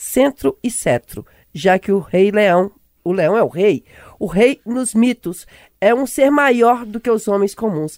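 A woman with a fairly high pitch speaks very slowly with lively intonation, in a dry, close sound with no echo. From Brazilian countryside. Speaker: radio host, journalist. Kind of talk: radio talk show.

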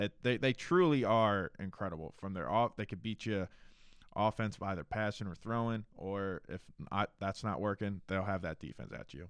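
An unremarkable speaking voice in an American accent moves at a moderate pace with ordinary pitch variation. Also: man, fairly low pitch for a man. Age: 20s. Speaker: sports podcast co-host. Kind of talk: casual sports chat.

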